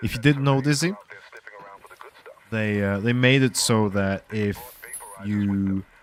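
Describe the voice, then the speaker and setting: A man's fairly low voice at a very slow pace, broken by long, frequent pauses, over noticeable background noise. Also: ordinary pitch variation. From Norway. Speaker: streamer. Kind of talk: casual live gaming commentary. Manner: halting, many fillers and repeats.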